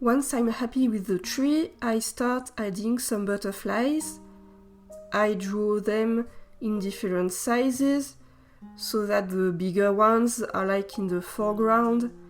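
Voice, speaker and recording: Music plays in the background while a woman speaks very slowly in a fairly high pitch. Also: ordinary pitch variation. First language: non-native English speaker. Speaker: artist. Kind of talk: art process voiceover. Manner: casual, slightly hesitant.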